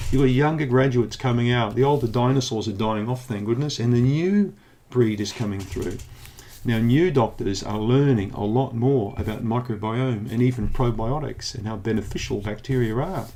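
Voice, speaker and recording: With a New Zealand accent, a man speaks in a dark, mellow tone, and room echo is audible. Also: medium pitch for a man, ordinary pitch variation, moderate pace. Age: 60s. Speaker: naturopath. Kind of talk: educational monologue. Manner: animated.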